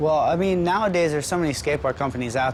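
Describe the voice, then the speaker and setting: Noticeable background noise behind a man's voice, its pitch varying in an ordinary way. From US East Coast, Baltimore. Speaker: professional skateboarder. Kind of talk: interview. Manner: halting, many fillers.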